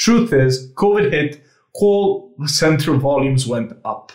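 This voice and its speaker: Somewhat breathy, a man's voice carries lively intonation. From Serbia. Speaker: AI company founder. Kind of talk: casual interview. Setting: video call. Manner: fast.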